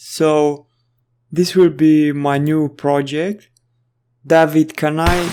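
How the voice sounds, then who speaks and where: Speaking very slowly with long, frequent pauses, a man with a non-native accent keeps a monotone, flat intonation. His pitch is fairly high and his tone dark and mellow. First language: not English. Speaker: 3D artist tutorial creator. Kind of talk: tutorial. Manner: halting.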